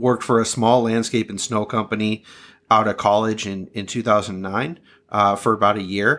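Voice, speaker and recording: A man speaks at a fairly quick pace with an American accent. His pitch is fairly low, and the recording is very clean with a silent background. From Southern California. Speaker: sales consultant and snow business coach. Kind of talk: interview.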